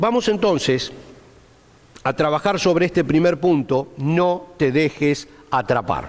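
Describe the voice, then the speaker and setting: Over noticeable background noise, a man with a fairly high voice speaks at a very slow pace, with long, frequent pauses. His loudness stays very even and his pitch varies in an ordinary way. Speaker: Bible teacher. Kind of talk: Bible study lecture.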